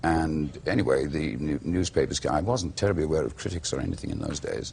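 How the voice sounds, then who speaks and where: A man with a Welsh accent speaks at a very fast pace in a very deep, low pitch with vocal fry and ordinary pitch variation. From Wales. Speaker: actor. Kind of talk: interview answer.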